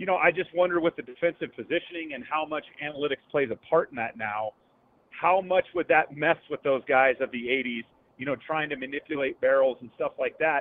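A man with an American accent and a plain, everyday voice, fairly high in pitch, at a fairly quick pace with ordinary pitch variation. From Northern California (Gilroy). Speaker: baseball radio analyst, former player. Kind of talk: radio interview.

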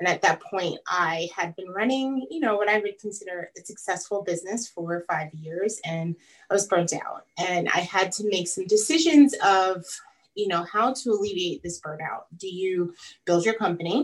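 An unremarkable speaking voice from a woman with an American accent, medium pitch, ordinary pitch variation and a moderate pace. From US, Long Island, New York. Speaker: furniture maker and designer. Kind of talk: interview.

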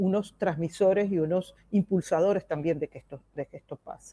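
Her tone is dark and mellow, and she talks at a moderate pace. The sound is dry and close, with no echo. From Venezuela. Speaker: professor. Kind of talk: interview.

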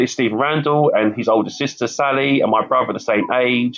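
A man speaks with a London accent at a fairly high pitch. His pitch varies in an ordinary way, and his pace is moderate. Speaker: campaigner and youth mentor. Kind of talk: interview. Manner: hesitant, repeats words.

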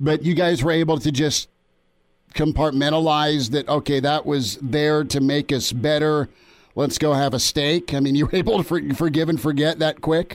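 A man's unremarkable speaking voice, fairly high in pitch, at a moderate pace with fairly even intonation and very even loudness, in a very clean recording with a silent background. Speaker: sports radio host. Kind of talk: sports interview.

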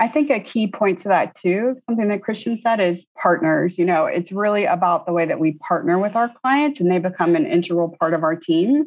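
A woman talks in a plain, everyday voice at medium pitch, with lively intonation and very even loudness. Her pace is fairly quick, with hardly any pauses. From Tallahassee, Florida. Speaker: interior designer, design principal. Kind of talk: interview.

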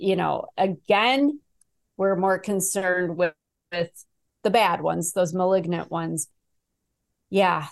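Speaking with a Midwestern US accent, a woman uses a medium pitch and ordinary pitch variation. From Chicago, US Midwest. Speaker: abuse survivor and author. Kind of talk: casual interview.

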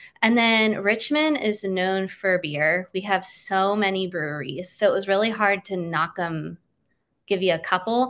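In a quiet background, a woman with an American accent talks at a fairly slow pace. Her medium pitch shows ordinary variation, and she has a normal speaking voice. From Pennsylvania. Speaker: social media manager and former teacher. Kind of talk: interview about local travel tips.

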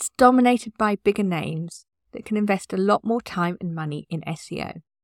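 An unremarkable speaking voice from a woman at medium pitch and moderate pace, with lively intonation, in a very clean recording with a silent background and a dry, close sound with no echo. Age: 50s. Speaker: podcast host, website designer. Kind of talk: solo podcast tips talk.

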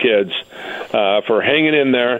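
Speaking with an American accent, a man uses a medium pitch, ordinary pitch variation and a fairly quick pace over noticeable background noise. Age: 60s.

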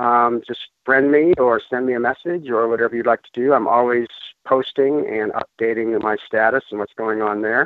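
A man with an American accent and a normal speaking voice, medium pitch, moderate pace and fairly even intonation. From Colorado, US. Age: 50s. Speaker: ultramarathon runner sharing a product testimonial. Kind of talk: testimony.

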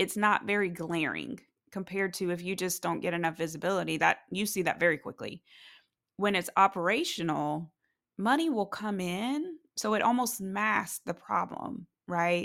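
This woman's voice sits at medium pitch with vocal fry and ordinary pitch variation. Her tone is animated and her pace moderate. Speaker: podcast host and private practice business coach. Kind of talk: solo podcast monologue, business coaching. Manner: animated, conversational.

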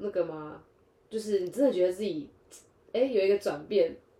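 Her medium-pitched voice has a dark, mellow tone and lively intonation. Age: 20s. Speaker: podcast co-host. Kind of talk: casual chat.

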